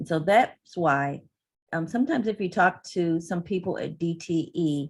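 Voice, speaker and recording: This woman has an unremarkable speaking voice with a fairly low pitch. Her pitch variation is ordinary. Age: 60s. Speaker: energy utility industry representative. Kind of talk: presentation.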